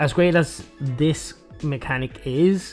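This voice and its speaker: A man's voice with ordinary pitch variation over background music. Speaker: video game reviewer. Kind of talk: game review narration.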